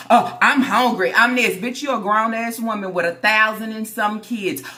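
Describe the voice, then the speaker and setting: An animated voice moves at a moderate pace with ordinary pitch variation. Music plays in the background, and audible room echo is present. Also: woman. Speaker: YouTuber reacting to social media drama. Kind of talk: casual vlog commentary. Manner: loud.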